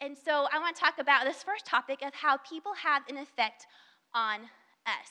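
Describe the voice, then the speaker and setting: Speaking in a raised, projected voice with an American accent, a woman with a high pitch and a bright, sharp tone talks at a moderate pace. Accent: Southern US twang, noted by others. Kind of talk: devotional talk.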